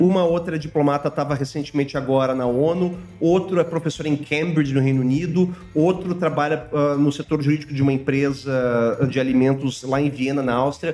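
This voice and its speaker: A man's fairly high voice at a fairly quick pace, with fairly even intonation and very even loudness, over noticeable background noise. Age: 40s. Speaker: international relations professor. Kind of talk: casual chat.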